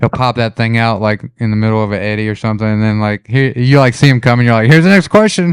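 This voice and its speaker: Hardly pausing, a man talks at a very fast pace with medium pitch and ordinary pitch variation in a very clean recording with a silent background. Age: 30s. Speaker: kayaking podcast host. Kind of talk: casual chat.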